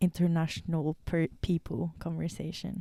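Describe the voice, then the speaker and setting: In a Romanian accent, the voice has a dark, mellow tone and a monotone, flat intonation at a very slow pace, recorded dry and close with no echo. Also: woman. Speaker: podcast co-host. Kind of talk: casual chat.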